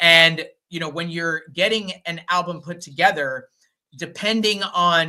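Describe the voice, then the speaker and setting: At a moderate pace, the voice comes across bright and sharp, with an animated tone and ordinary pitch variation. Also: man. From adopted from Colombia. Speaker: musician. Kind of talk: casual chat. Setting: live stream.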